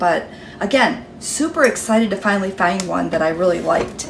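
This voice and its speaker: A woman at medium pitch talks fairly quickly with ordinary pitch variation, amid noticeable background noise and audible room echo. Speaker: cooking vlogger. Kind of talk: tutorial. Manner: casual, chatty.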